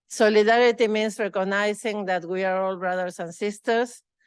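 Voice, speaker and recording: With a Spanish accent, a speaker talks at a fairly slow pace with fairly even intonation against a quiet background. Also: woman. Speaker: award recipient, researcher. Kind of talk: acceptance speech. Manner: halting.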